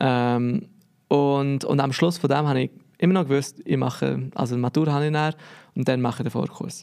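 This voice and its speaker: A man with a fairly high pitch talks at a fairly quick pace, keeping his intonation fairly even. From Switzerland, Biel (Bernese region). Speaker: lettering artist. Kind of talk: casual interview.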